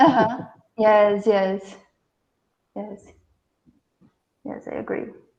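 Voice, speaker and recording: At a very slow pace with long, frequent pauses, a woman with a fairly high pitch keeps a fairly even intonation amid audible room echo. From Brazil. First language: Portuguese. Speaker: researcher. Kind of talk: Q&A after lecture. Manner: halting.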